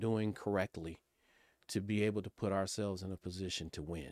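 With an American accent and an ordinary speaking voice, the speaker talks at a fairly quick pace with ordinary pitch variation, in a dry, close sound with no echo on a very clean recording with a silent background. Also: man. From Pasadena, California. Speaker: political operative. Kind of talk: panel discussion.

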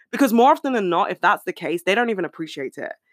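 On a very clean recording with a silent background and a dry, close sound with no echo, a woman with a British accent speaks in an animated tone with lively intonation. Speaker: podcast host. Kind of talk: casual solo chat. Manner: fast.

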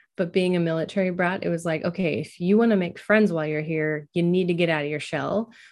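Against a quiet background, a woman with an American accent speaks in a plain, everyday voice at a fairly low pitch with ordinary pitch variation. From US Pacific Northwest, Oregon. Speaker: podcast host and social worker. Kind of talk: interview.

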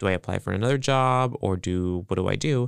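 This very clean recording of a man has a silent background and a dry, close sound with no echo. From US Central Coast California. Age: 20s. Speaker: film student. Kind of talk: interview.

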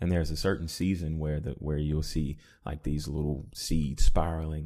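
Speaking in a Southern US accent, a man with a very deep, low pitch and a dark, mellow tone keeps his intonation fairly even at a moderate pace, on a very clean recording with a silent background. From US South, Mississippi. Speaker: entrepreneur and musician. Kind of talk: casual interview.

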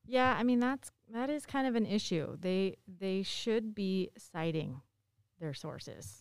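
A woman's plain, everyday voice at a medium pitch and fairly slow pace. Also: lively intonation. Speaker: teacher or expert on sourcing. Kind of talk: explaining, conversational.

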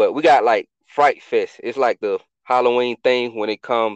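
A normal speaking voice at a moderate pace, with fairly even intonation and a dry, close sound with no echo. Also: man. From Atlanta, US South. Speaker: podcast founder, military veteran. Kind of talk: casual chat.

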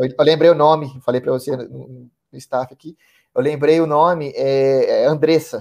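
A man speaks at a moderate pace in a flat monotone, his loudness swinging widely. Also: fairly high pitch for a man. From Ribeirão Preto, interior of São Paulo state, Brazil. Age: 30s. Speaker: sales manager, course student. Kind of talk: interview. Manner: hesitant, many fillers.

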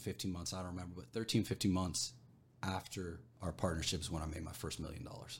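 This man's pitch is very deep and low, with ordinary pitch variation. His voice sounds somewhat breathy. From Arizona, small copper mining town. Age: 40s. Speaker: entrepreneur. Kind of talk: casual chat. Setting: rented podcast studio.

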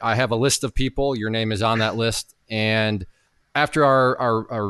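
A normal speaking voice carries fairly even intonation. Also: man. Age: 30s. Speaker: podcast host. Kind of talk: casual interview.

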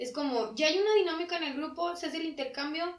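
A woman speaks at a fairly quick pace. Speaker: podcast co-host. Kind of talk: casual chat.

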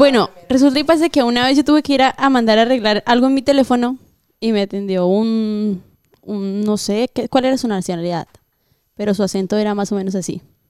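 An ordinary speaking voice moves at a fairly quick pace with ordinary pitch variation, in a dry, close sound with no echo. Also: woman, fairly high pitch for a woman. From Colombia. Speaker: guest. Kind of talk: casual chat.

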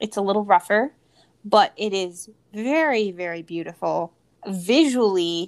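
Very clean, with a silent background, this recording holds a woman's voice at medium pitch. It is an ordinary speaking voice. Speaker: podcast host. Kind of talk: casual chat.

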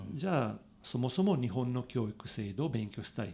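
With an Italian accent, a man speaks at a medium pitch and a moderate pace. His pitch swings very widely. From Italy. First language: Italian (speaking Japanese). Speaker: cycling journalist. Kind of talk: casual interview. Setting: studio. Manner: animated.

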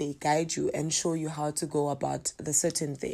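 This speaker is a woman. She has a dark, mellow tone. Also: very clean recording, silent background. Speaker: podcast host, traditional healer. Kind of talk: casual monologue.

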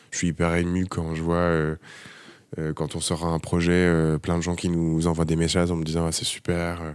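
A man with a very deep, low pitch speaks in a monotone, flat intonation at a moderate pace. The recording is very clean, with a silent background. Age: 30s. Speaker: architect. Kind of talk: casual interview. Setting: office workshop. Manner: soft-spoken; calm.

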